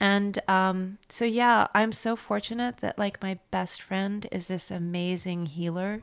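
In an unremarkable speaking voice of medium pitch, a woman speaks fairly slowly with fairly even intonation, on a very clean recording with a silent background. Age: 50s. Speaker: fashion designer and business owner. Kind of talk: interview.

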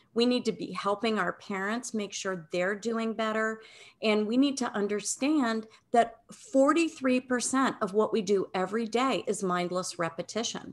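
An ordinary speaking voice from a woman, fairly high in pitch, with ordinary pitch variation, a moderate pace, and a quiet background. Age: 60s. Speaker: wellness educator and author. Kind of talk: interview.

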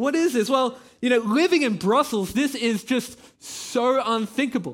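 An Australian-accented man at an extremely high pitch with lively intonation, on a very clean recording with a silent background. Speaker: campus pastor. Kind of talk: sermon. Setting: church.

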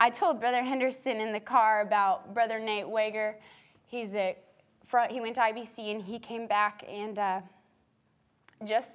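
An ordinary speaking voice from a woman with an American accent, fairly high in pitch, with fairly even intonation and a moderate pace, in a very clean recording with a silent background. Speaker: Bible college alumna and church worship leader. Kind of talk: talk to students.

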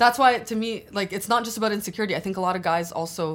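Very cleanly recorded over a silent background, a woman with a Canadian accent uses a normal speaking voice and lively intonation at a fairly quick pace. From Albania, then Toronto area. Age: 20s. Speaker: law student. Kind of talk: casual chat.

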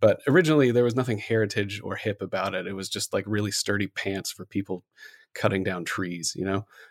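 A man speaks in a normal speaking voice at a fairly low pitch, with an American accent. The recording is very clean and dry, close with no echo, over a silent background. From Ohio (Columbus area). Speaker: web developer. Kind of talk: casual interview conversation.

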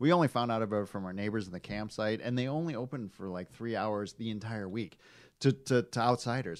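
Speaking at a fairly quick pace, a man with an American accent has an ordinary speaking voice, a medium pitch and ordinary pitch variation. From Michigan, US. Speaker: car magazine editor. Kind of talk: casual chat.

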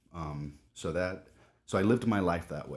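A man with an American accent and a very deep, low pitch, in a very clean recording with a silent background. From Southern California. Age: 30s. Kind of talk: casual interview chat.

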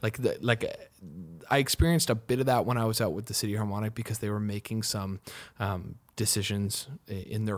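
This man talks with a Canadian accent at a fairly quick pace, using a fairly low pitch and ordinary pitch variation. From Canada. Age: 20s. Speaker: singer-songwriter. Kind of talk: casual chat. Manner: halting.

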